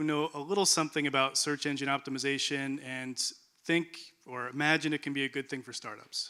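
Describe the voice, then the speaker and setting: Fairly high, bright and sharp male voice at a fairly quick pace, on a very clean recording with a silent background. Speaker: marketing consultant and speaker. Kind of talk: conference presentation. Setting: stage with audience.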